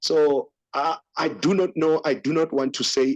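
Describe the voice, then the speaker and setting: A man speaks with a Lesotho accent. The sound is dry and close, with no echo. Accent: Sotho accent in English and Zulu. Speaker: podcast host. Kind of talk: casual commentary discussion. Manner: hesitant, many fillers.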